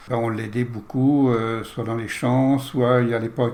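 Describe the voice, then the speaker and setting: Noticeable background noise accompanies this man's medium-pitched voice. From France, Touraine (near Loches). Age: 70s. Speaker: interview guest, host's father. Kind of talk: life-story interview.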